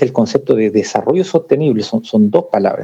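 The tone here is dark and mellow. It is a man talking fairly quickly. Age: 40s. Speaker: corporate sustainability coordinator. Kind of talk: interview conversation. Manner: halting, many repetitions.

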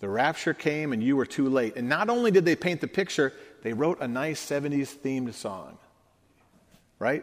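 Over a silent background on a very clean recording, a man with a plain, everyday voice speaks at a fairly high pitch and moderate pace with lively intonation. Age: 50s. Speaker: pastor. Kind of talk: sermon.

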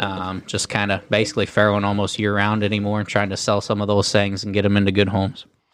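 Here a man with a Midwestern US accent speaks at a fairly low pitch, monotone and flat. He goes very fast with hardly any pauses. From US Ohio. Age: 20s. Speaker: livestock breeder and show judge. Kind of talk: casual interview chat.

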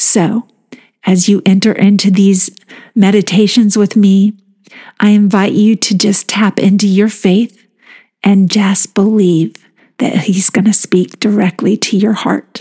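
A woman speaks in a dark, mellow, soothing, gentle voice of medium pitch that is somewhat breathy, with monotone, flat intonation and very even loudness. The sound is dry and close with no echo. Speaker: podcast host leading guided meditations. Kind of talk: guided meditation. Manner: slow, soothing, gentle.

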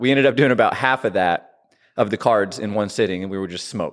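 The man talks at a medium speed. His voice rises and falls in a normal way. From US Midwest, southern rural Illinois. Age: 30s. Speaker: gym member, weight-loss story. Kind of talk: casual interview.

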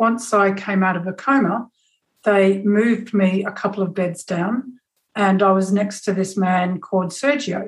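A somewhat breathy woman's voice with fairly even intonation. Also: medium pitch for a woman, fairly slow pace. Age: 50s. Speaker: communication specialist and photographer. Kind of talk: personal storytelling.

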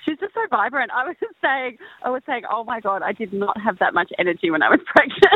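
A woman's very fast, high-pitched voice in an Australian accent, with very wide pitch swings. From Tasmania, Australia. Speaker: cooking show contestant and restaurant owner. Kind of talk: casual chat.

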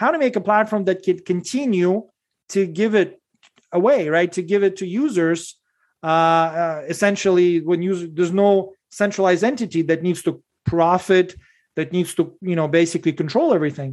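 Against a quiet background, a man talks with a high pitch. His pitch variation is ordinary. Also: moderate pace. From Soviet Union, moved to US as a child. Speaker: tech founder. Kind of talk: interview. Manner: halting with many fillers.

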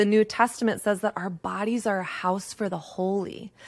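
With an American accent, a woman uses an unremarkable speaking voice at fairly high pitch and a moderate pace. The sound is dry and close, with no echo. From Texas. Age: 30s. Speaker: author and dating coach. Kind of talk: podcast interview.

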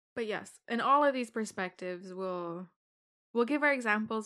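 A woman's bright, sharp tone at a moderate pace, with ordinary pitch variation and a quiet background. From Ireland. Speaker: podcast co-host. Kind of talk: casual chat. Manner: laughs often.

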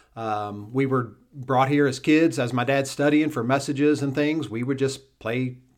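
In a very clean recording with a silent background, a man with an ordinary speaking voice talks at a fairly slow pace, his medium pitch showing ordinary variation. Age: 40s. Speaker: lead pastor. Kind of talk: casual chat.

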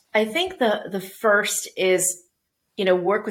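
A woman with a Canadian accent speaks in a plain, everyday voice, fairly slow and with fairly even intonation. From Canada, Toronto. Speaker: business executive. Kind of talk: interview.

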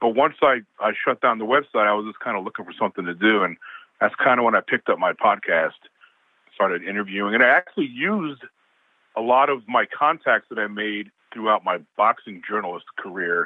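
A man with an American accent, a normal speaking voice, medium pitch, ordinary pitch variation, and a fairly quick pace. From New York state. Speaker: paranormal investigator and boxing promoter. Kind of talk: casual interview chat.

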